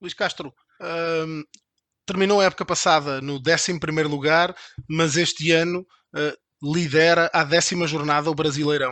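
Monotone, flat delivery at a fairly slow pace. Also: man, fairly high pitch for a man. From Portugal. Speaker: podcast host. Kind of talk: interview.

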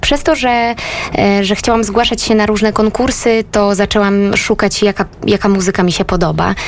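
A woman with a fairly high pitch speaks at a very even loudness amid noticeable background noise. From Lesser Poland, southern Poland (Rożnów). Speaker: singer-songwriter and musical theatre actress. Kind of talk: radio interview. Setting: radio studio.

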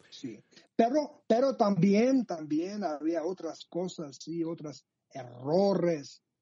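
The speaker has a Georgian accent and talks at a very slow pace. Pitch swings very widely and loudness rises and falls in big swings. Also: man, high pitch for a man. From Georgia (Abkhazia, Sukhumi). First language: Georgian (speaking Spanish). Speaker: journalist. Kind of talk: interview. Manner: halting.

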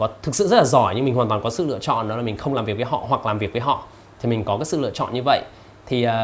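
A man talks at a very fast pace in a somewhat breathy voice. His pitch is medium and varies in an ordinary way. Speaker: YouTuber reviewing books. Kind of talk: casual vlog-style book summary.

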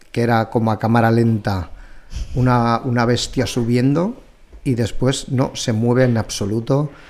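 This man has an ordinary speaking voice of medium pitch with fairly even intonation. He talks at a fairly slow pace, keeping his loudness very even. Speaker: podcast host, cooking content creator. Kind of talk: casual chat.

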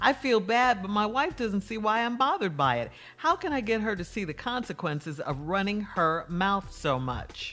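A woman's medium-pitched, bright, sharp voice with very wide pitch swings, a moderate pace and hardly any pauses, on a very clean recording with a silent background. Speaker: radio co-host. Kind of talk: casual chat.

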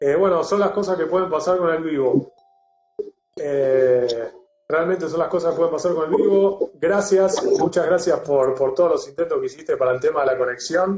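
A man with a Rioplatense accent speaks at a moderate pace in a high voice. His loudness stays very even. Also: ordinary pitch variation. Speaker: doctor. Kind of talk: interview.

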